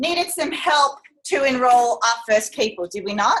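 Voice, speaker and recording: A woman's voice comes through loud and high-pitched. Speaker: motivational speaker at a sales training event. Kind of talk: live talk to an audience. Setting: room with live audience. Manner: animated.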